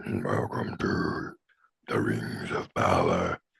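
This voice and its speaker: A man puts on a growling character voice. He speaks at a very slow pace. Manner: booming.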